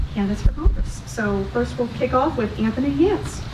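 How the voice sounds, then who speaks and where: A woman talking at a fairly quick pace, with noticeable background noise and audible room echo. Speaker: event organizer. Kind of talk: event hosting. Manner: fast.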